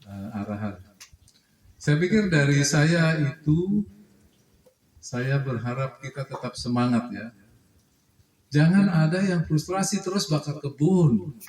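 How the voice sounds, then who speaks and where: Speaking at a very slow pace with long, frequent pauses, a man uses a fairly high pitch and lively intonation. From Java, Indonesia. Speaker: official speaker at cooperative meeting. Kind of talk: formal address at annual members meeting. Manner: blunt, outspoken.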